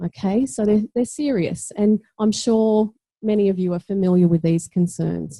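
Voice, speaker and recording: A woman's medium-pitched voice in an Australian accent, with ordinary pitch variation, moderate pace, very even loudness, a somewhat breathy quality, a dark, mellow tone and a dry, close sound with no echo. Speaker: teacher educator and education researcher. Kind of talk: conference talk.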